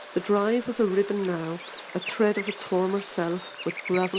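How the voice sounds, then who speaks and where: A woman speaks at a fairly slow pace in a monotone, flat intonation. Noticeable background noise sits behind her. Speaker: voiceover artist. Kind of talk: audiobook reading.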